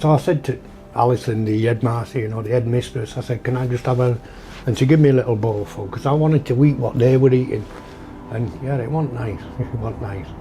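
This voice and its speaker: A man with a Yorkshire accent speaks fairly quickly at a medium pitch while music plays in the background. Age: 60s. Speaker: former homeless man. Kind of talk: casual chat. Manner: animated.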